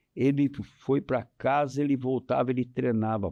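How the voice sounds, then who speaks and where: At a fairly slow pace, a dark, mellow tone comes across over a quiet background. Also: man. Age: 70s. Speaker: tennis coach. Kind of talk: interview. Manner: halting.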